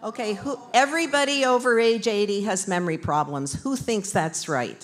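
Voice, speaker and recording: Very wide pitch swings from a woman at a moderate pace, with noticeable background noise behind her. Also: fairly high pitch for a woman. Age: 70s. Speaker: doctor and brain aging researcher. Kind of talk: interactive talk with live audience. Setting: community event with live audience.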